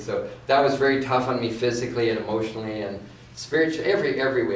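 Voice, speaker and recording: A man with a Canadian accent at a fairly quick pace, fairly even intonation, noticeable background noise, and audible room echo. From Canada, West Vancouver. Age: 60s. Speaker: inspirational speaker. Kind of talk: guest talk at church service. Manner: halting, repeats words.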